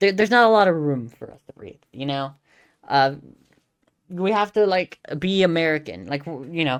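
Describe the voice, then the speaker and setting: This woman speaks with a Southern California accent at a moderate pace and a fairly low pitch. Her intonation is lively, her loudness swings widely, and she takes long, frequent pauses. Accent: Valley girl. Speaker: streamer. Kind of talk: casual commentary. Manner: halting, many fillers.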